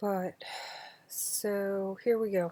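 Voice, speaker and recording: A soft-spoken woman's dark, mellow tone, delivered with monotone, flat intonation. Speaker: channel owner reading books aloud. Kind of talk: casual chat. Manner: relaxed, bedtime-story pace. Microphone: quiet recording level.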